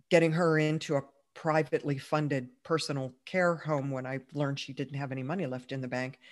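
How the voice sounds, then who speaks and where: On a very clean recording with a silent background, a woman with a very deep, low voice speaks at a fairly quick pace with fairly even intonation. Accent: American. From Pittsburgh, US. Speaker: entrepreneur. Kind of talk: interview.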